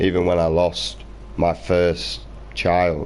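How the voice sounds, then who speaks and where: Someone speaks very slowly with a British accent. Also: man. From Britain. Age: 20s. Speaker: gaming streamer. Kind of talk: live stream rant. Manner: animated.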